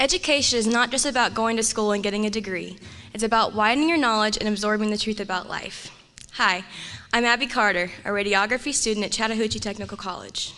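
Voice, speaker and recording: Talking very fast, a woman with a fairly high voice uses ordinary pitch variation. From Georgia (Marietta). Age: 19. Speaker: student. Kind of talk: prepared speech.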